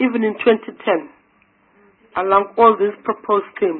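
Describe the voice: A woman's medium-pitched voice with a husky, rough edge, at a fairly slow pace.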